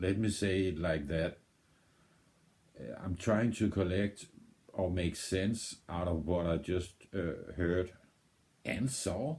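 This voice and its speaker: In a Danish accent, a man speaks at a very deep, low pitch and a very slow pace, somewhat breathy. His pitch varies in an ordinary way, with long, frequent pauses. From Denmark. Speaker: music video reactor. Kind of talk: casual reaction commentary. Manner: halting, with many repetitions and fillers.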